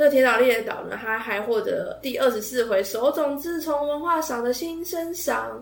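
Speaking at a moderate pace with hardly any pauses, a woman has a high pitch and lively intonation. Audible room echo and noticeable background noise fill the recording. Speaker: podcast host. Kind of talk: casual monologue.

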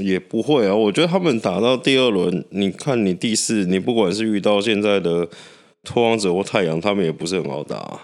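In a very clean recording with a silent background, a man speaks in a husky, fairly low voice. He talks at a fairly quick pace with lively intonation. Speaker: podcast co-host. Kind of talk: casual chat.

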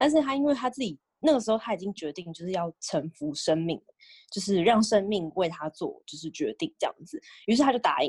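A woman talks at a fairly quick pace and a medium pitch, somewhat breathy, with very wide pitch swings. Her loudness swings widely, and the sound is dry and close with no echo. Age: 20s. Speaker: podcast co-host. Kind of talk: casual chat.

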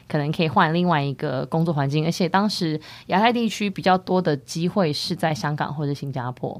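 Fairly quick delivery with ordinary pitch variation on a very clean recording with a silent background. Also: woman. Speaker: podcast co-host, wellness startup co-founder. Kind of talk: casual chat.

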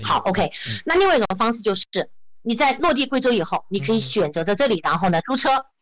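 A woman talks at a very fast pace. Her fairly high pitch swings very widely. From Guizhou, China (Zunyi). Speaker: travel entrepreneur and social media creator. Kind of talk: interview. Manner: hesitant, many fillers.

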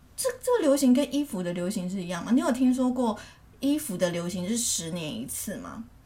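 A woman talks at a fairly high pitch and fairly quick pace, her voice making very wide pitch swings. Noticeable background noise is present. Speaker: podcast co-host. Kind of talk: casual chat.

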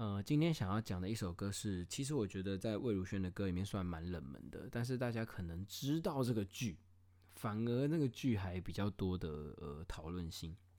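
This man's voice is fairly low, with a dark, mellow tone. His intonation is lively. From Taiwan. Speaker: podcast host and private school teacher. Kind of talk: casual solo monologue.

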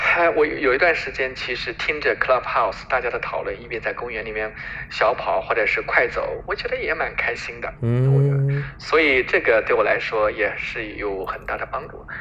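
With hardly any pauses, a man keeps a moderate pace as noticeable background noise runs underneath. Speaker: physician. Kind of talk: interview.

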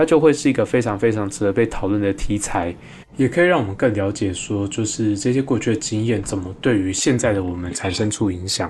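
This speaker talks at a fairly quick pace with a Taiwanese accent. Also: man. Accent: Taiwanese Mandarin. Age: 30s. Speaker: podcast host, psychologist. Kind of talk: casual solo monologue on psychology.

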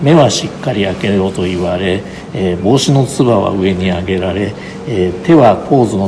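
A man talks very fast in a fairly low voice. Noticeable background noise and audible room echo accompany him. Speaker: photographer's grandson, estate representative. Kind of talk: guided exhibition tour interview. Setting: photo exhibition venue.

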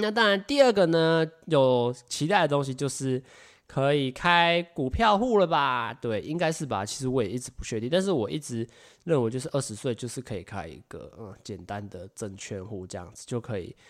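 At a moderate pace and medium pitch, a man talks with very wide pitch swings and big swings in loudness on a very clean recording with a silent background. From Taiwan. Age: 20s. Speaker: podcast host. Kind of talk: solo podcast monologue. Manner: animated.

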